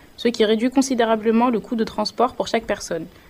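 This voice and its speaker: The woman's pitch is fairly high. She talks at a fairly quick pace with monotone, flat intonation. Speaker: vocational student, radio presenter. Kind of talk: scripted presentation.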